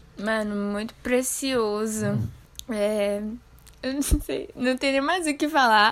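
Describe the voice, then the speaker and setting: Speaking at a very slow pace, a woman has a fairly high pitch and ordinary pitch variation. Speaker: podcast host. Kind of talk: casual podcast interview.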